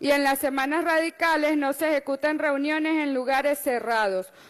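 In a quiet background, a woman talks at a fairly slow pace, her high pitch held in fairly even intonation. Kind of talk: formal reading of session minutes. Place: hall. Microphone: podium.

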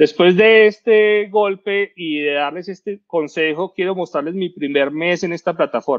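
A man with a high pitch speaks at a fairly slow pace, with hardly any pauses and ordinary pitch variation. The background is quiet. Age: 30s. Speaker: cybersecurity expert; presenter. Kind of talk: talk presentation. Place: home room. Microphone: headset.

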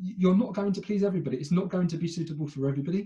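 A man with a British accent speaks in a dark, mellow tone, his pitch varying in an ordinary way against a quiet background. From Britain. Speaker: fintech company director. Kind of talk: interview. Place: home room. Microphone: earbuds.

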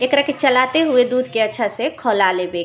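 A woman's high-pitched voice at a fairly slow pace, with faint music in the background. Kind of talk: tutorial. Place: kitchen. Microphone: phone near.

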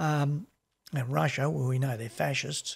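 In an Australian accent, a man speaks with lively intonation and a somewhat breathy voice against a quiet background. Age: 60s. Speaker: music label owner and podcast co-host; podcast co-host. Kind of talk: casual chat. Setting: video call. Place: home room. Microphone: studio mic.

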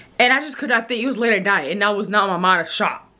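A woman speaks at a fairly quick pace. Light background noise sits behind her. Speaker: vlogger. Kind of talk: casual vlog chat. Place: home room. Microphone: phone near.

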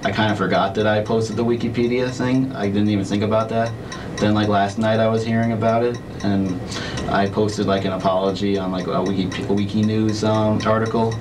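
Monotone, flat delivery at very even loudness, with music in the background. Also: man. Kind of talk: interview answer. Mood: nervous, apologetic. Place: meeting room.

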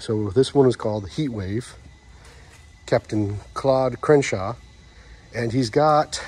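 Fairly slow, somewhat breathy speech from a man. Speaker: museum visitor vlogger. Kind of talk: casual walkthrough commentary. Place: hall. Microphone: phone near.

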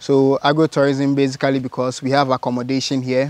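A man's voice, dry with no echo. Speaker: farm guide explaining the place. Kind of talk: interview answer. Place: farm machine. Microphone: lapel.

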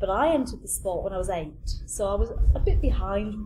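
The speaking pace is moderate, and there is noticeable noise in the background. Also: woman. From northern England. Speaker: fitness coach. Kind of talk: casual chat. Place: garden.

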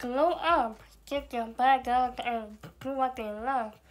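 With faint music in the background, a woman speaks very slowly in a high voice with fairly even intonation. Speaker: vlogger. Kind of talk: casual advice vlog. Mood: earnest, encouraging. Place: home room. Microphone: phone near.

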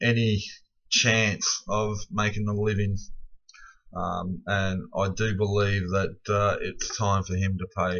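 A man with an Australian accent and a fairly low pitch speaks at a very slow pace against a quiet background. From Victoria, Australia. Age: 30s. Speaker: self-represented court litigant, vlogger. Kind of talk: angry late-night rant. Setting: late at night, self-recorded video. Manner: aggrieved, swearing heavily, ranting; rambling, filler-heavy. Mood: aggrieved, angry. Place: home room. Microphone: webcam.

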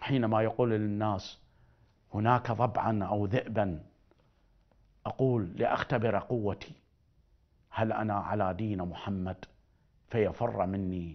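Speaking very slowly in an Iraqi accent, a man with a fairly low voice leaves long, frequent pauses against a quiet background. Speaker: spiritual healer; TV presenter. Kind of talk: religious talk. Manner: animated. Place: studio. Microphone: lapel.

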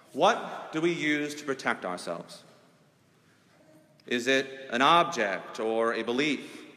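A man's fairly slow speech carries an audible echo from the room. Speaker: preacher. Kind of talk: sermon. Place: church.

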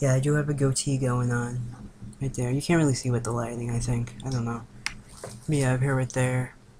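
Against noticeable background noise, a man speaks at a fairly quick pace in a monotone, flat delivery with long, frequent pauses. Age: 20s. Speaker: vlogger documenting gender transition. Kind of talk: casual video diary. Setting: indoors on webcam in girlfriend's room. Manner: giggly, rambling. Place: home room. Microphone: webcam.

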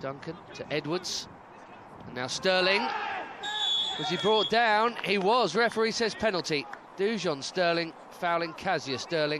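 A man's high, animated voice with ordinary pitch movement, fairly slow and broken by long, frequent pauses, over noticeable background noise. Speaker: football commentator. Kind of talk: live football commentary. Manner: animated, rising with each goal.

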